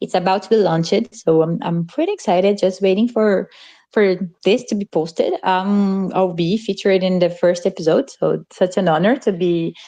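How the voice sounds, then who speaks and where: A woman speaks in a Portuguese accent. Her intonation is fairly even. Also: medium pitch for a woman, moderate pace, quiet background. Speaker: community member. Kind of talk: casual chat.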